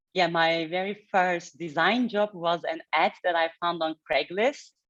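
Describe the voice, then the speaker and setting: A woman with a Turkish accent speaks in a fairly low pitch. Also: ordinary pitch variation, fairly slow pace. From Turkey, Istanbul. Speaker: head of design. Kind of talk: fireside chat interview. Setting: hybrid event with live audience.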